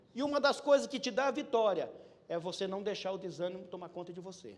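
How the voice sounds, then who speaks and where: A man talks at a fairly quick pace in an animated tone, his pitch swinging very widely. Noticeable background noise runs behind him. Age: 50s. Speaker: preacher. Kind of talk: sermon. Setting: church.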